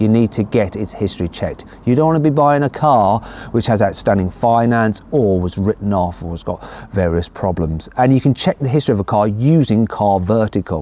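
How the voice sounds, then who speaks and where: Fairly low in pitch, a man speaks at a fairly quick pace in a plain, everyday voice. The sound is dry, with no echo. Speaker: car reviewer. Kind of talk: sponsored segment in a car review. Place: street.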